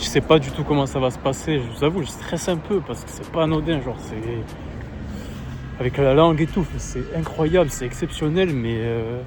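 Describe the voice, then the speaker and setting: With music playing in the background, a man speaks at a moderate pace in a fairly high pitch. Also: ordinary pitch variation. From France, Agen. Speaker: vlogger and sports content creator. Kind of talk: travel vlog. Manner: halting, lots of fillers.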